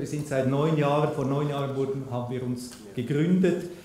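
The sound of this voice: Audible room echo surrounds a man speaking at a fairly high pitch. His tone is dark and mellow, with ordinary pitch variation.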